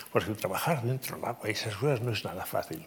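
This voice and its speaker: An ordinary speaking voice, a man at medium pitch with lively intonation and a fairly quick pace. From Navarre, Spain. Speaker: civil engineer and professor. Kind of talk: interview conversation. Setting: stage with audience.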